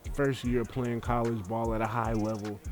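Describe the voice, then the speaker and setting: Music plays in the background as a man speaks at a fairly slow pace. His tone is animated, and his pitch is medium. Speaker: gaming YouTuber. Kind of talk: gameplay commentary. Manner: stuttering.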